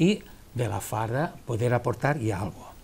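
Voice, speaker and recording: This man's voice has a dark, mellow tone and sounds somewhat breathy. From Valencian Community, Spain. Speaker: charity treasurer; interview guest. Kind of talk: TV interview. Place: studio. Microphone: lapel.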